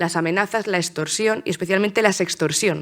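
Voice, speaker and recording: A woman talks at a fairly quick pace in a fairly low voice with fairly even intonation. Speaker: political scientist and journalist giving a talk. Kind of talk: conference talk. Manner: fast; hesitant, many fillers and restarts.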